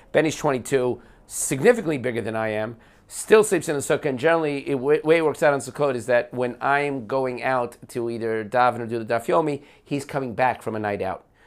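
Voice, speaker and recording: In a very clean recording with a silent background, a man with an American accent talks fairly quickly in an unremarkable speaking voice, with medium pitch and ordinary pitch variation. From New Jersey, US. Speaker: podcast guest, long-time immigrant to Israel. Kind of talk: casual conversation over whiskey. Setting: at his home.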